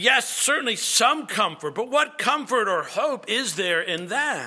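Projecting his raised voice at an extremely high pitch, a man speaks at a fairly slow pace with very wide pitch swings. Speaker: pastor. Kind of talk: sermon.

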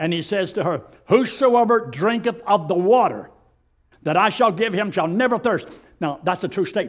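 A man with a Southern US accent speaks in a high pitch with lively intonation at a moderate pace. The recording is very clean, with a silent background. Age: 80s. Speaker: pastor. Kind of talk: sermon. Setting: church.

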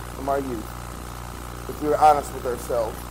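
A man speaks at a moderate pace. The room echo and background noise are both noticeable. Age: 30s. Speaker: pastor. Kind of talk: sermon.

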